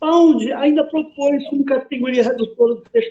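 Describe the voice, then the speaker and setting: Dark, mellow tone from a male speaker, pitch moving in an ordinary way. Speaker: writer and poet giving a talk. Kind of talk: lecture.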